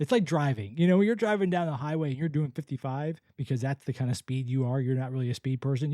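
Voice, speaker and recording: A man with an American accent speaks in a dark, mellow tone with lively intonation. The sound is dry and close with no echo, in a very clean recording with a silent background. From US South, Florida. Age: 50s. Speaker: podcast host. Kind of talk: casual monologue. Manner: relaxed.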